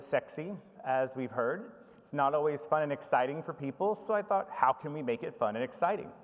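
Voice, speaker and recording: A man with an American accent, fairly high in pitch, lively in intonation and fairly quick in pace. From United States. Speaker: information management professional. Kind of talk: conference presentation. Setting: conference stage with audience.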